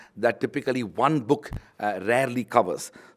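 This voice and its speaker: At a fairly quick pace, a man with a Tamil accent speaks in a medium pitch. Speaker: university vice chancellor, book launch speaker. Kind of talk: formal speech at book launch. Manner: formal, with frequent fillers.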